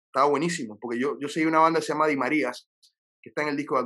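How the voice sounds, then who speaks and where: A man's voice, fairly high in pitch, at a very fast pace. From Panama. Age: 40s. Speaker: singer-songwriter. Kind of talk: casual interview. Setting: his recording studio.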